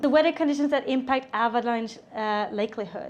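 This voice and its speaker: A woman's high-pitched voice with a Swedish accent, a fairly quick pace and ordinary pitch variation. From Sweden. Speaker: avalanche safety instructor. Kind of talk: seminar presentation. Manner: casual, with filler words.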